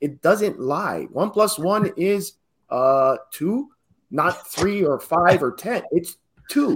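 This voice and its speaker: Very wide pitch swings mark this very slow delivery. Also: man, high pitch for a man. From Hawaii. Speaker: real estate investor and educator. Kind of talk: podcast interview.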